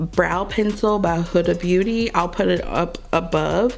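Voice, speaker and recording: At a moderate pace and medium pitch, a woman speaks with ordinary pitch variation over noticeable background noise. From Kentucky, Louisville. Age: 30s. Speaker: beauty vlogger. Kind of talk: casual chat.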